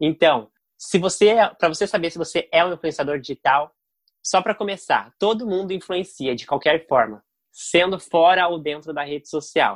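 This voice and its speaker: High-pitched man with lively intonation at a moderate pace, dry, close sound with no echo, very clean recording and silent background. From Brazil, Curitiba. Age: 20s. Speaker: digital influencer. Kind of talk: interview.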